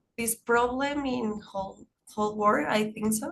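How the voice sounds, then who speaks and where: A somewhat breathy, fairly high-pitched woman's voice with a Spanish accent. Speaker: migrant panelist. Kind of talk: panel discussion. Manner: halting, repeats words.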